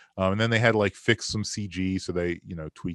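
A man with a very deep, low pitch talks at a fairly quick pace in an animated tone with ordinary pitch variation. The sound is dry and close with no echo, over a quiet background. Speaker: film podcaster and Bigfoot enthusiast. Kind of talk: casual chat. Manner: animated, profane, jokey.

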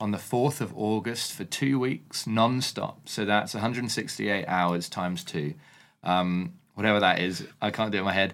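A man with a fairly low pitch and ordinary pitch variation talks at a moderate pace on a very clean recording with a silent background. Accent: southeast English. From southeast London, England. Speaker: author and ministry worker. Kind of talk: podcast interview.

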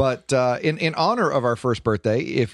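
Against a quiet background, a man with an American accent talks at a moderate pace, the sound dry and close with no echo. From US Midwest, Detroit. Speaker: podcast host discussing scripture readings. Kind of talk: casual chat about bible readings.

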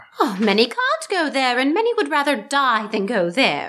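A woman speaks at a moderate pace with a high pitch. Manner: earnest, pleading.

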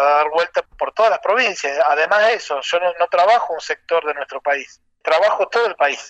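Heard as a dry, close sound with no echo, the voice has a bright, sharp tone, a moderate pace and ordinary pitch variation. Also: man. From Argentina, Rosario and Santiago del Estero. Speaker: folk violinist. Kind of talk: interview.

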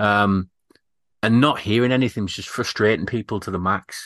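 A man's fairly low voice with an English accent at a fairly quick pace, dry and close with no echo, over a quiet background. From Britain. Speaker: podcast host. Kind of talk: casual chat.

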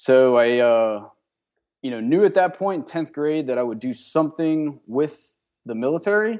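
Using a normal speaking voice, a man talks with an American accent at a fairly high pitch. His intonation is lively and his pace moderate. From western Pennsylvania (Johnstown, near Pittsburgh). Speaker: army officer and entrepreneur. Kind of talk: interview. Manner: casual, with frequent fillers.

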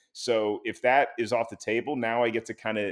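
An unremarkable speaking voice from a man, pitched at a medium level, its pitch varying in an ordinary way. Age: 30s. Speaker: stand-up comedian and show host. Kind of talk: interview.

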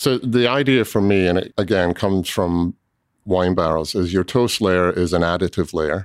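In a very clean recording with a silent background and a dry, close sound with no echo, the speaker talks at a moderate pace with a slight Scottish accent. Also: man. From Scotland. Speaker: cooperage owner. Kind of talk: casual interview.

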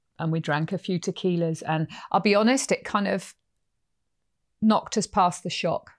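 In an English accent, the speaker keeps a moderate pace and fairly even intonation, recorded dry and close with no echo on a very clean recording with a silent background. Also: woman. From England. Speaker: horse trainer and podcast host. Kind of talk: casual storytelling conversation.

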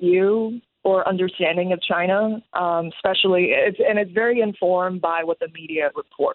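A woman is speaking. She has an American accent. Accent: American-sounding English. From Taiwan. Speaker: stand-up comedian. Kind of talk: radio interview. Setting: phone call.

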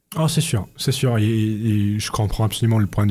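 A man's fairly low, dark, mellow voice, somewhat breathy, with ordinary pitch variation at a moderate pace, in a very clean recording with a silent background. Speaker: university student. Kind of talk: radio interview. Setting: radio studio. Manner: halting, repeating words.

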